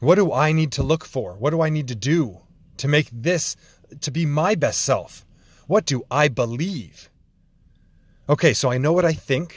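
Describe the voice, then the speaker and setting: A man with a fairly high pitch speaks at a moderate pace, with lively intonation, a somewhat breathy sound and long, frequent pauses. The recording is very clean and the background silent. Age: 30s. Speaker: podcast host. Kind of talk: solo monologue.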